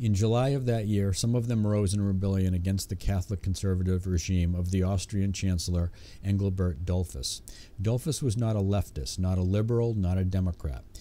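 A man with a very deep, low, dark and mellow voice keeps a very even loudness and ordinary pitch variation. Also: fairly quick pace. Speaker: audiobook narrator. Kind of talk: audiobook narration of history. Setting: home recording with a cheap condenser microphone. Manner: steady, measured, formal reading pace with occasional self-corrections on stumbles. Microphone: studio mic.

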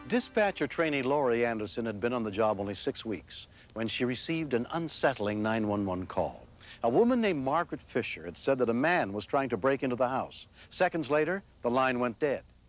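With music in the background, a man speaks at a fairly quick pace in a dry sound with no echo. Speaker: TV show host narrator. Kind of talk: documentary narration. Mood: grave, dramatic. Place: street.

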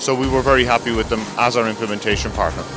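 Music plays in the background as a man talks at a very fast pace in a monotone, flat intonation, the sound dry with no echo. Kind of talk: interview answer. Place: factory.

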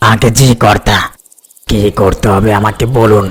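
A raspy, cartoonish character voice speaks at a fairly slow pace. The intonation stays flat and monotone. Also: man, fairly low pitch for a man. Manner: deferential, calls master sir.

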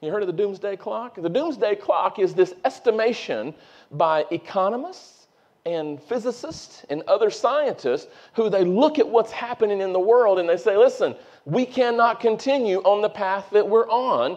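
A man speaks at a high pitch with lively intonation and a moderate pace. The background is quiet. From North Carolina. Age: 40s. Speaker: preacher. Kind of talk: sermon. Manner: animated. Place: church.

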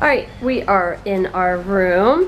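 Over faint background noise, a woman's pitch shifts in an ordinary way. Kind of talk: casual vlog chat. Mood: upbeat, joking. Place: home room. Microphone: phone near.

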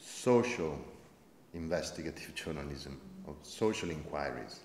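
Speaking at a moderate pace, a man talks in an Italian accent. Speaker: investigative journalist, producer. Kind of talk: panel discussion. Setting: stage with audience. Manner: halting.

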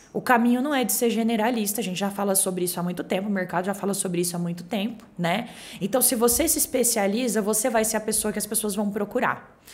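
A woman with a fairly high voice races along at a very fast pace, her pitch moving an ordinary amount and hardly any pauses breaking it up. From Brazil, Cuiabá, Mato Grosso; Mato Grosso, Brazil. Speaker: real estate agency director; podcast guest. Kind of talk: casual chat. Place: studio. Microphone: studio mic.

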